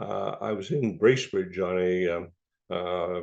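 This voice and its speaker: The speaker is a man. He goes at a very slow pace with ordinary pitch variation. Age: 80s+. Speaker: stroke survivor. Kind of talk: testimony. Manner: halting, many fillers.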